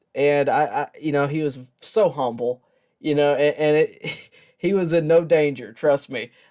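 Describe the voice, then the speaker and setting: A man with a dark, mellow tone and fairly high pitch speaks at a moderate pace with fairly even intonation. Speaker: baseball video host. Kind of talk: casual talk to camera. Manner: reflective, emotional, sincere.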